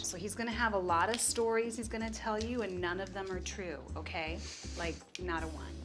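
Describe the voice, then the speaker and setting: With music playing behind her, a woman talks at a fairly quick pace in an upbeat, playful tone. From Puerto Rico. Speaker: food TV personality and chef. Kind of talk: TV food show talk.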